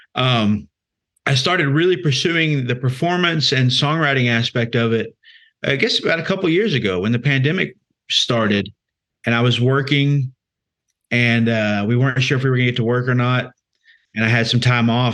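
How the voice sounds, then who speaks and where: A man with a Texan accent, medium-pitched, at a fairly quick pace, with ordinary pitch variation and very even loudness. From Central Texas. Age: 30s. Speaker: singer-songwriter. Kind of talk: interview. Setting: live stream.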